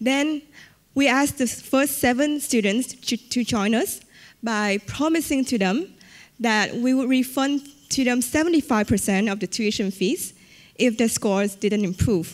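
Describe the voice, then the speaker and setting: A woman's high voice in a Vietnamese accent, fairly slow, with very even loudness and ordinary pitch variation, on a very clean recording with a silent background. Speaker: entrepreneur. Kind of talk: conference talk.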